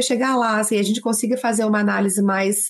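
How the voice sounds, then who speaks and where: A woman with a Minas Gerais accent speaks at a fairly high pitch and a fairly quick pace. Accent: mineiro. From Minas Gerais, Brazil (Barbacena). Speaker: lawyer and gender specialist. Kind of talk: interview.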